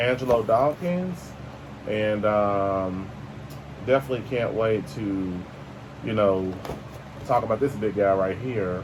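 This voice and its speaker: A man talks with lively intonation over noticeable background noise. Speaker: toy review youtuber. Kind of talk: casual toy unboxing review. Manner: fast.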